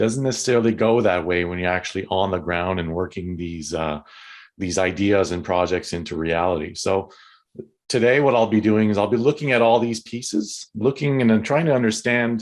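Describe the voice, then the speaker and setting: This man's voice sits fairly low, with ordinary pitch variation. He talks fairly quickly over a quiet background. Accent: Quebec. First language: French. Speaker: tourism consultant. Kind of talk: webinar presentation. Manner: halting, hesitant.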